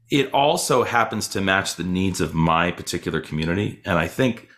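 Lively intonation from a man with a very deep, low pitch, on a very clean recording with a silent background. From Boston, US. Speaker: cellist and festival director. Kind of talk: casual interview chat. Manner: halting with fillers.

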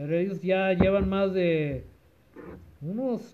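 His voice is high in pitch for a man. Its rise and fall stays ordinary. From Los Angeles area, California. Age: 40s. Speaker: used car dealer. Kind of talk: casual chat. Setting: at home with family around.

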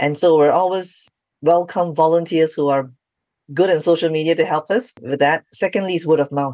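A woman speaks in a very deep, low voice with fairly even intonation. The background is quiet. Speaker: founder of an ADHD support organisation. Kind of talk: interview. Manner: fast.

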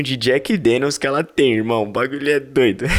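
The man's voice sits fairly high, and its pitch moves with ordinary variation. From São Paulo, East Zone. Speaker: podcast host and event correspondent. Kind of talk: casual vlog-style chat and event coverage. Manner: animated.

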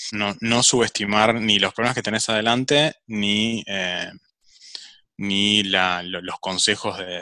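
Very slowly, a man speaks in a fairly low voice with a bright, sharp tone and fairly even intonation. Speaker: startup executive. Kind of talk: interview.

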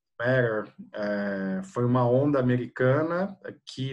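A man's voice sits at a medium pitch. Its rise and fall is ordinary. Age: 40s. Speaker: PR agency executive. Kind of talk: interview. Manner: hesitant with many fillers.

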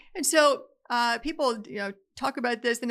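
At a moderate pace, a woman speaks in a high pitch with ordinary pitch variation and a bright, sharp tone, on a very clean recording with a silent background. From Appalachia. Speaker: lawyer and energy policy podcaster. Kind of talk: interview.

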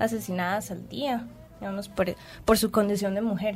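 The speaker keeps a moderate pace. The intonation is fairly even. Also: woman. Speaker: radio host. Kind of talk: radio talk show. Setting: radio studio.

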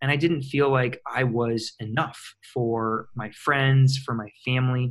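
Somewhat breathy, a man with an American accent talks at a medium pitch with fairly even intonation. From US Midwest, small-town Michigan. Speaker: personal development coach and author. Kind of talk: interview, personal story.

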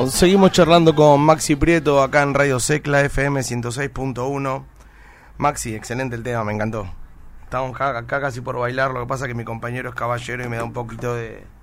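At a fairly quick pace, a plain, everyday voice keeps fairly even intonation while showing big swings in loudness. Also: man, medium pitch for a man. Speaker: radio host. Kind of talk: radio interview.

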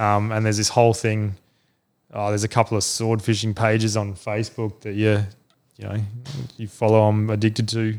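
With an Australian accent, a man speaks fairly quickly in a flat monotone, fairly low in pitch, with long, frequent pauses. The recording is very clean, with a silent background. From South Australia (Adelaide). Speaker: fishing club manager. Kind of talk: casual chat.

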